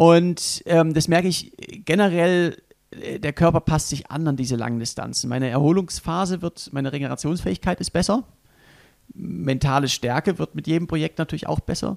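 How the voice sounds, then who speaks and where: Recorded very cleanly against a silent background, with a dry, close sound and no echo, a man talks at a moderate pace in a plain, everyday voice, fairly high in pitch with ordinary pitch variation. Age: 30s. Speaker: extreme endurance athlete and adventurer. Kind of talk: casual interview. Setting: hotel room.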